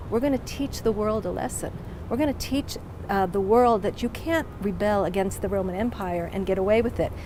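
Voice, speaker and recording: A woman with an American accent and medium pitch, with noticeable background noise. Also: ordinary pitch variation, fairly quick pace. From United States. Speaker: museum director. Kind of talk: interview.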